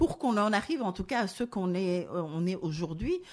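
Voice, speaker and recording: A woman talks at a fairly quick pace in an ordinary speaking voice with ordinary pitch variation, on a very clean recording with a silent background. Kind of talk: radio show talk. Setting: studio.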